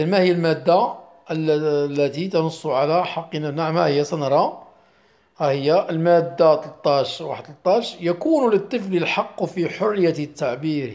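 An unremarkable speaking voice from a man, fairly high-pitched, fairly slow, with ordinary pitch variation. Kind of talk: lesson. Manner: repetitive.

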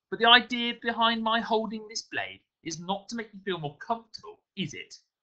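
The put-on character voice has lively intonation and a bright, sharp tone. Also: man, high pitch for a man, fairly quick pace.

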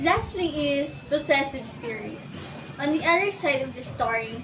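Loud music plays in the background. Over it, a woman speaks at a fairly slow pace. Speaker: book vlogger. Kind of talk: casual talk to camera. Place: home room.

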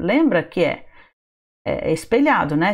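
A woman speaks against a quiet background. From Brazil. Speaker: English teacher. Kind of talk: online lesson for sixth graders. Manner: animated. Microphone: webcam.

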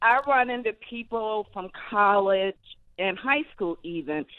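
A woman with an American accent talks in a plain, everyday voice at a medium pitch and a fairly slow pace, the sound dry with no echo against a quiet background. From Los Angeles. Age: 60s. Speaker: caller. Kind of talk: casual chat. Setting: phone call. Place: studio.

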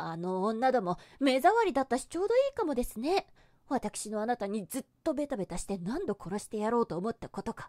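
A woman at a high pitch with a dark, mellow tone, very wide pitch swings, big swings in loudness and a fairly quick pace over a quiet background. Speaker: ASMR voice actress. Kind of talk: yandere goddess roleplay monologue, scripted ASMR situation voice. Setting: binaural headphone ASMR recording. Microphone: studio mic.

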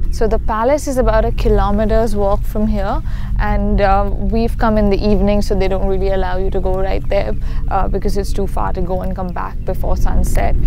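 A woman speaks at a fairly quick pace, with a dry, echo-free sound and noticeable background noise. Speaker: travel vlogger. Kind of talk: casual vlog chat. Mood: playful, mock-spooky. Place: open country.

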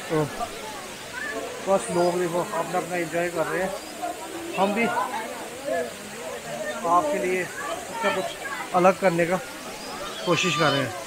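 Over clear background noise and clear crowd noise, a man with a high pitch speaks slowly with fairly even intonation and long, frequent pauses.

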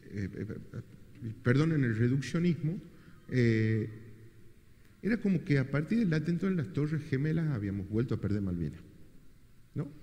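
Here a man talks at a moderate pace with a fairly high pitch that swings very widely, his tone dark and mellow and somewhat breathy. He leaves long, frequent pauses. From Argentina. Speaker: moderator. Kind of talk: moderated book presentation. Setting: event hall with audience. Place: hall.

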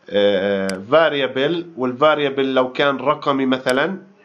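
A man's lively intonation at a fairly slow pace, over noticeable background noise. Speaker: programming course instructor. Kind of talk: tutorial. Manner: casual, halting.

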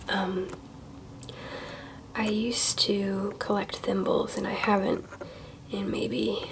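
The voice is soft-spoken with a relaxed tone. Noticeable background noise is present. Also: woman. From Ohio, USA. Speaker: collector. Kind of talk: softly spoken ASMR show-and-tell. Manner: soft-spoken, relaxed, casual. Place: home room.

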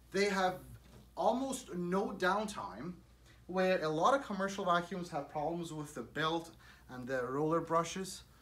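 A man's high-pitched, fairly bright voice with lively intonation at a fairly slow pace, in audible room echo

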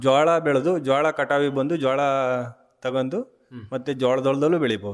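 A man's plain, everyday voice at a medium pitch, with ordinary pitch variation. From Karnataka, Arkalgud taluk, Hassan district. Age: 40s. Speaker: farmer. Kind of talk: radio interview.

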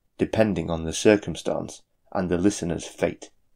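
A man's very deep, low-pitched voice in a dramatic tone, on a very clean recording with a silent background. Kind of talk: horror narration, scripted storytelling. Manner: slow, dramatic, ominous.

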